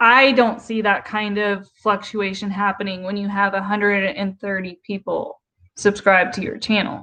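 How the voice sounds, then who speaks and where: A woman talks at a medium pitch in a bright, sharp tone. Her intonation is monotone and flat. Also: moderate pace. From US South. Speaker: YouTube livestreamer, commentary. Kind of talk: casual livestream commentary reading chat. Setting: live stream.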